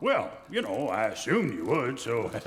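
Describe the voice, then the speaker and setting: A man's put-on character voice against clear background noise. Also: moderate pace. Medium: old radio play. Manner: hesitant, halting.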